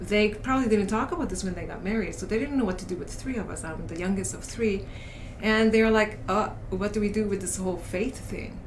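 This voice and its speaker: Amid noticeable background noise and audible room echo, a woman speaks at a fairly high pitch and a fairly quick pace. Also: ordinary pitch variation. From South Korea. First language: Korean. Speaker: coach and educator. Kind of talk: casual podcast interview. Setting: podcast recording.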